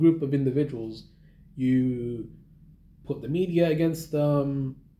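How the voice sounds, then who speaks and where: A man's somewhat breathy voice has a dark, mellow tone, a fairly high pitch, and ordinary pitch variation. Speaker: YouTuber reviewing a book. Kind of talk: casual video review monologue. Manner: halting, many repetitions and fillers.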